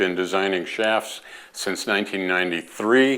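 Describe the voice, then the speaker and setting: Fairly low in pitch, a man speaks slowly, fairly so, with fairly even intonation in an ordinary speaking voice. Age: 60s. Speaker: golf club designer. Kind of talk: informal educational talk. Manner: conversational with fillers.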